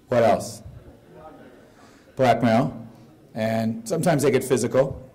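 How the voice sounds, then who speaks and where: With audible room echo, a man speaks in a dark, mellow tone. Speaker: conference speaker. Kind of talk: presentation to audience. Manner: loud.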